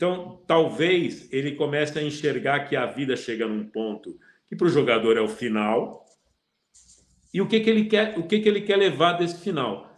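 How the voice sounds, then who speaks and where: A man's fairly high pitch with very wide pitch swings at a moderate pace. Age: 60s. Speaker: football pundit. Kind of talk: casual chat. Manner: halting.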